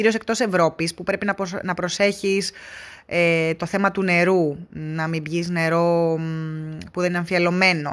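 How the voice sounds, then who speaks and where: The woman's pitch is medium. She keeps a moderate pace. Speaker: travel podcaster. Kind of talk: casual solo monologue. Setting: in a car.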